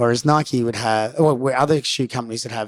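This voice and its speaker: Speaking at a fairly quick pace, the voice carries an Australian accent. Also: man. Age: 40s. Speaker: professional skateboarder and skate coach. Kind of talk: casual chat.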